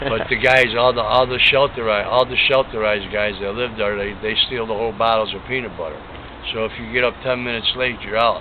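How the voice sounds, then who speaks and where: Over noticeable background noise, a man with a medium pitch speaks at a very fast pace in a monotone, flat intonation. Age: 60s. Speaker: cancer patient interviewee. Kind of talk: interview.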